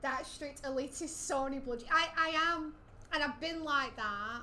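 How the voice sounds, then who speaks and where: There is audible room echo as a woman uses a raised, projected voice. Her pitch is high, with ordinary pitch variation. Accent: Lancashire. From Lancashire, northern England. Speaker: gaming streamer. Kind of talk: casual chat.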